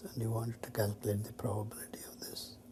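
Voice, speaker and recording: A somewhat breathy man speaks with a dark, mellow tone. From India (Chennai). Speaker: mathematician. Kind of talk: interview answer.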